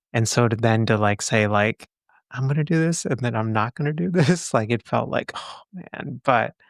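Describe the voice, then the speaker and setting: On a very clean recording with a silent background, a man at a medium pitch speaks at a moderate pace with lively intonation in a dry, close sound with no echo. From Texas. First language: not English. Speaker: psychologist and podcast host. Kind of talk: casual interview chat.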